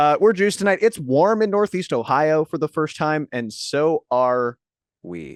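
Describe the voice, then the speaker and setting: A man with a plain, everyday voice speaks at a fairly high pitch and a fairly slow pace, with lively intonation. The sound is dry and close with no echo, over a quiet background. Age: 20s. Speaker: podcast co-host. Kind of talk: casual chat. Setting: video call.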